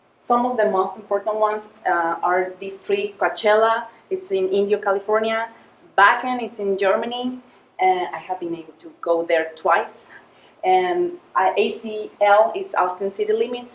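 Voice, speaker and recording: At a moderate pace, a woman with a Spanish accent speaks at a medium pitch with ordinary pitch variation and big swings in loudness. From Mexico. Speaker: project manager giving a club speech. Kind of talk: prepared club speech. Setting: club meeting with audience. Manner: halting, many fillers.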